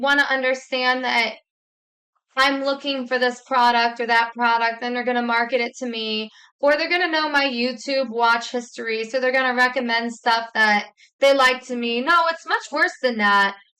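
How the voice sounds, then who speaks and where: A loud woman's voice, high-pitched with a bright, sharp tone, at a moderate pace. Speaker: YouTuber, commentator. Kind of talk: vlog commentary.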